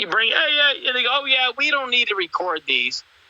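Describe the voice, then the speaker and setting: In a dry, close sound with no echo, a man uses a raised, projected voice at an extremely high pitch. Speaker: tiktok live streamer, sovereign-citizen style legal talk. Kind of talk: casual live stream chat. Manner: animated.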